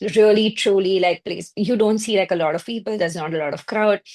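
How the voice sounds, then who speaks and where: Over a quiet background, a woman with an Indian accent speaks at a moderate pace in a fairly high pitch with ordinary pitch variation. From India (Mumbai). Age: 30s. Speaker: marketing and PR professional, immigrant. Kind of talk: podcast interview. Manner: hesitant, many fillers.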